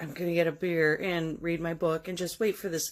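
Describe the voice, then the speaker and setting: On a very clean recording with a silent background, a woman with an American accent speaks at a fairly quick pace and fairly low pitch with fairly even intonation. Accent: slight Midwestern accent, comes out sometimes. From South Dakota. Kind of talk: first-person storytelling. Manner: casual, halting with false starts.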